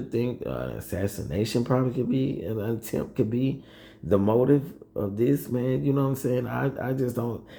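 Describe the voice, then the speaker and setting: Speaking fairly slowly at a medium pitch, a man uses lively intonation in a dark, mellow, somewhat breathy tone. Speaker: political commentary youtuber. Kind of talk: casual vlog commentary. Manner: halting, many fillers.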